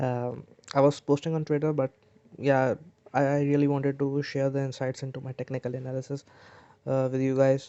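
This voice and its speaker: With long, frequent pauses, a man talks at a fairly quick pace in a medium pitch, his tone dark and mellow and his intonation monotone and flat. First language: not English. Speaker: crypto trading analyst. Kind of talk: technical analysis tutorial. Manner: halting, many fillers and restarts.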